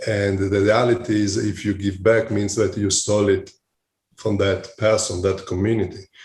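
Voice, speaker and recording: Speaking at a moderate pace with an Italian accent, the voice is somewhat breathy and monotone, flat in intonation, on a very clean recording with a silent background. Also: man, fairly low pitch for a man. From Italy. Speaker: hospitality executive. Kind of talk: interview. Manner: halting, many fillers.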